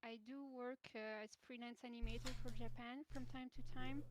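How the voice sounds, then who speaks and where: In a French accent, a woman speaks at a fairly slow pace with ordinary pitch variation, the sound dry and close with no echo. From France. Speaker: animator. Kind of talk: casual interview. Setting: online voice call. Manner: halting. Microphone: too quiet, low audio.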